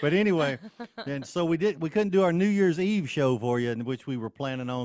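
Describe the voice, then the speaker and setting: Talking fairly quickly, a man with a normal speaking voice uses lively intonation. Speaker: show host. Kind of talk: casual, chatty.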